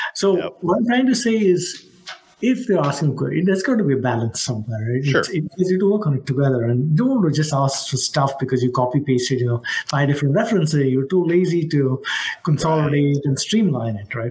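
A man talks at a very fast pace with a fairly high pitch and lively intonation. Noticeable background noise runs underneath. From India (Mumbai). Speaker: cybersecurity executive. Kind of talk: interview.

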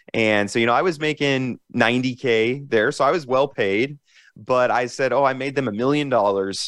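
Against a quiet background, a man with an American accent speaks at medium pitch and a fairly quick pace, with ordinary pitch variation. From US Midwest, Nebraska. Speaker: entrepreneur and passive income influencer. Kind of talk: interview. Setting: call.

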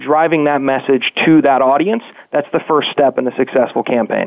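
With an American accent and a fairly high pitch, a man talks at a fairly quick pace with ordinary pitch variation. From West Virginia. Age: 20s. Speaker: digital marketing agency owner. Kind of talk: interview. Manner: halting.

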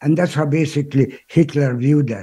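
Fairly slow and fairly even in intonation, a man speaks at a fairly high pitch with a dark, mellow tone. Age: 80s+. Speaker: Holocaust educator and speaker. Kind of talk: interview. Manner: halting.

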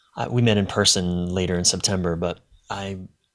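A man speaks at a fairly slow pace. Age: 40s. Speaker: relationship coach and author. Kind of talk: casual chat. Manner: halting.

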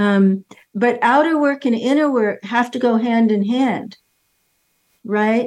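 A woman's high voice at a very slow pace, with long, frequent pauses. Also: ordinary pitch variation. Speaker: retired therapist and author. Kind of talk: interview.

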